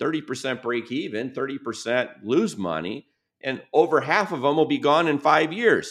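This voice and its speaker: A man with an American accent and fairly high pitch speaks at a moderate pace with lively intonation and vocal fry against a quiet background. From US Midwest, Michigan. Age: 50s. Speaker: business author and advisor. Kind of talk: podcast interview.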